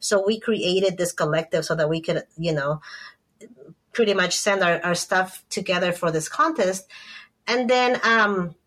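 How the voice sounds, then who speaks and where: Here a woman speaks with a Spanish accent. Her pace is moderate and her loudness stays very even. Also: medium pitch for a woman, ordinary pitch variation. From Ecuador, Quito. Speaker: photographer. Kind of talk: interview.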